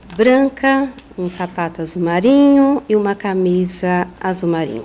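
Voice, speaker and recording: A woman's lively intonation at a fairly slow pace, amid noticeable background noise. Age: 50s. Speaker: psychologist and author. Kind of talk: podcast interview.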